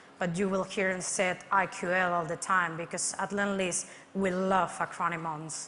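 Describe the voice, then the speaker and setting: Her tone is bright and sharp, at a medium pitch. The woman's intonation stays monotone and flat. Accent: Spanish. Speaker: construction project manager. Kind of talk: conference presentation.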